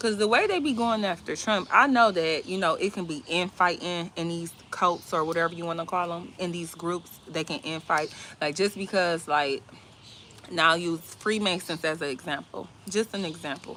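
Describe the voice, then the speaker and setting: A woman's fairly low voice, with ordinary pitch variation, at a moderate pace. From Georgia. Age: young. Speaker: livestream host. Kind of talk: casual livestream chat. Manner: rambling conversational, filler-heavy.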